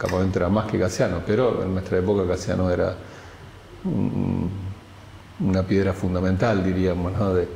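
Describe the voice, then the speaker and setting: There is audible room echo and noticeable background noise as a man speaks in a very deep, low pitch. His loudness stays very even at a moderate pace, broken by long, frequent pauses. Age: 60s. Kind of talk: testimony. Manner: halting, with many repetitions and fillers.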